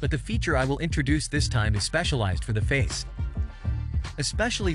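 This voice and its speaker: Clear music plays behind a man's voice. The sound is dry, with no echo. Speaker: tech tutorial creator. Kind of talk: tutorial. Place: home room. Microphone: studio mic.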